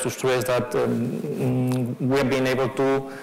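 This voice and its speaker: Over noticeable background noise and audible room echo, a man with a Spanish accent speaks at a medium pitch with fairly even intonation. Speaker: fund manager. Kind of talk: conference presentation. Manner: halting, many fillers.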